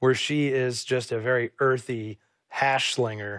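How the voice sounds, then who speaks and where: Recorded very cleanly against a silent background, a man speaks in an ordinary speaking voice at medium pitch with ordinary pitch variation. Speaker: TV film host. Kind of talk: TV film introduction.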